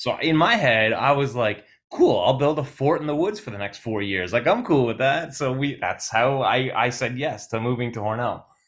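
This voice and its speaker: Someone with an American accent speaks at a moderate pace with lively intonation. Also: man. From Brooklyn, New York. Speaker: musician. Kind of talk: casual interview chat.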